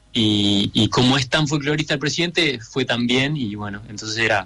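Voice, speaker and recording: A man speaks at a medium pitch with ordinary pitch variation. His is an unremarkable speaking voice. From Uruguay, Montevideo. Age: 30s. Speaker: singer-songwriter. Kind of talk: radio interview.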